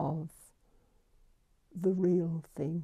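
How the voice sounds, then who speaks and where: A woman speaks very slowly in a fairly low, dark, mellow voice with a British accent. Her intonation is monotone and flat against a quiet background. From United Kingdom. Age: 80s+. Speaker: nuclear historian. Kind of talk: interview answer. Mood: reflective, grave. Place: home room.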